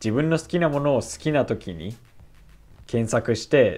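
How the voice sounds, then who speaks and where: At a moderate pace, a man talks with vocal fry. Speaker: YouTuber on language learning. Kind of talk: casual vlog monologue. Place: home room. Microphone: webcam.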